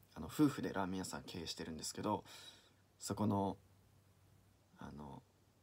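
The man's voice sits fairly low, with a dark, mellow tone and vocal fry. He talks at a moderate pace. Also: long, frequent pauses, big swings in loudness. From Niigata, Japan. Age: 20s. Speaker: aspiring actor. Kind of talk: audition self-introduction and anecdote.

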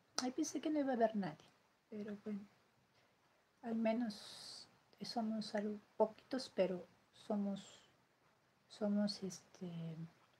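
A woman's somewhat breathy, dark and mellow voice at a very slow pace, with ordinary pitch variation and light background noise. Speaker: livestreamer. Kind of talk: casual livestream chat. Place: home room. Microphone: phone near.

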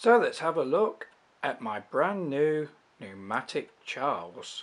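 Against a quiet background, a man with an English accent talks at a very slow pace. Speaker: vacuum cleaner YouTuber. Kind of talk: unboxing and product review.

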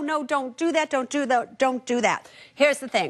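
A woman with a high voice speaks against a quiet background. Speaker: TV finance show host. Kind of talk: advice commentary to camera. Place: studio. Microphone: lapel.

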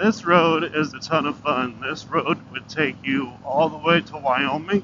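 There's noticeable background noise as a man speaks in dry sound with no echo. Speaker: motorcycle vlogger. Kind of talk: casual vlog chat. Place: motorbike. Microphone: helmet.

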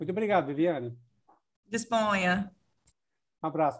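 The intonation is lively against a quiet background. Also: man. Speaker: host of live stream for accounting council. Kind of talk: moderated webinar. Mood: friendly, smiling. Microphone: video call.

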